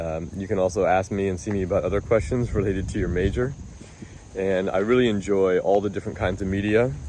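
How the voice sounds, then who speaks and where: A man speaks very fast in a fairly low, dark and mellow voice with fairly even intonation, and the room echo is audible. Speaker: college professor. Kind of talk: lecture. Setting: outdoors. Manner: informal.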